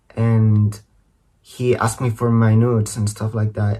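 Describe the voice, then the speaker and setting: A man with a non-native accent talks fairly slowly at a medium pitch, sounding somewhat breathy. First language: not English. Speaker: social media creator. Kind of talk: scripted personal statement. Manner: reading from a script.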